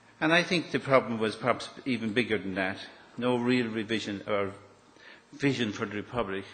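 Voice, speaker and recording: A man with an Irish accent speaks at a fairly quick pace, with a medium pitch and ordinary pitch variation. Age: 60s. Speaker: property developer. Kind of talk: public talk. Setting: stage with audience.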